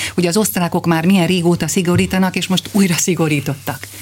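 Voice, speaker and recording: Noticeable background noise accompanies delivery at a fairly quick pace. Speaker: radio interviewer. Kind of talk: radio interview. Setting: studio.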